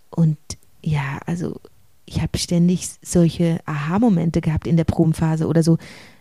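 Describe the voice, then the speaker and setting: At a moderate pace, a woman with a fairly low, somewhat breathy voice and a dark, mellow tone keeps her intonation fairly even. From Switzerland, rural village. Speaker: stage actor. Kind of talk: interview.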